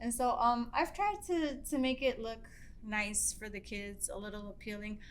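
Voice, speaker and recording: Pitched fairly high, a woman speaks with an American accent amid audible room echo. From Baltimore County, Maryland, US. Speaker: middle school Spanish teacher. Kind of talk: casual interview. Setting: classroom. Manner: halting, filler-heavy.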